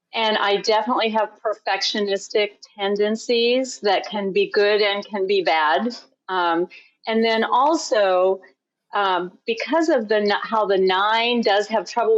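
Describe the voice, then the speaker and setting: At a fairly slow pace, a woman speaks in a normal speaking voice with a fairly high pitch. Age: 60s. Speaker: podcast guest. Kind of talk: podcast interview.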